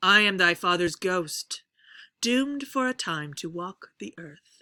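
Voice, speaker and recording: A woman's put-on character voice at a medium pitch and fairly slow pace, in a very clean recording with a silent background. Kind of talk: theatrical.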